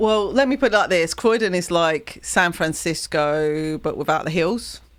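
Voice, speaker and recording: Lively in intonation, a woman speaks at a moderate pace with a fairly low pitch. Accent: southeast English. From southern England. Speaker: music streamer. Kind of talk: casual chat. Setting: live stream.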